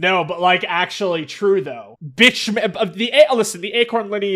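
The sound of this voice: An unforced reading voice and its ordinary pitch variation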